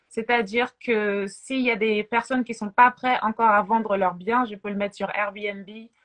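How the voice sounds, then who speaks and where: A woman in an ordinary speaking voice talks fairly slowly with fairly even intonation, recorded with a dry, close sound with no echo. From France, Paris. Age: 30s. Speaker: realtor. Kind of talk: interview.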